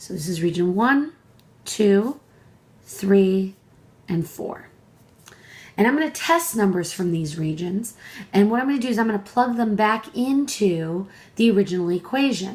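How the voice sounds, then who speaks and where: A somewhat breathy, medium-pitched female voice at a moderate pace, broken by long, frequent pauses. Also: lively intonation. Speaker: math professor. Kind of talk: tutorial.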